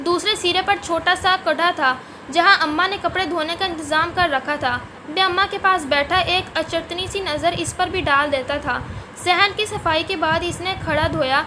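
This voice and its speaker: Over noticeable background noise, a woman uses a raised, projected voice at an extremely high pitch, with fairly even intonation. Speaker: voiceover narrator. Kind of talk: urdu story narration.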